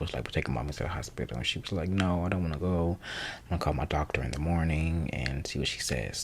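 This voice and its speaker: A man whispers at a very fast pace. He is soft-spoken. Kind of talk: ASMR life update talk. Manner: whispered or soft-spoken.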